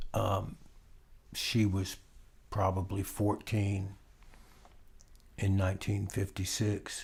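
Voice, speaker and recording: The recording is very clean, with a silent background. A man talks at a very slow pace in a somewhat breathy voice. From US South, central Florida. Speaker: musician. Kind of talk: casual interview. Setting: at the guest's home.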